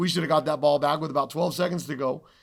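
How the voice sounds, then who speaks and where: This very clean recording has a silent background and a man speaking at a fairly high pitch. He talks at a very fast pace with fairly even intonation. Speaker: college football head coach. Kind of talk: press conference. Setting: postgame media session.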